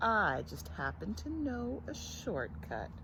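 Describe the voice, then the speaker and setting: A woman's put-on character voice at a fairly slow pace, against loud background noise. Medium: read story. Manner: sly, smooth-talking.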